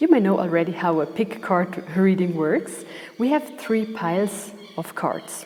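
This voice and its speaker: Over noticeable background noise, the speaker talks fairly slowly with lively intonation and a non-native accent. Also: woman. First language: not English. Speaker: tarot reader. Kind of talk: tarot reading.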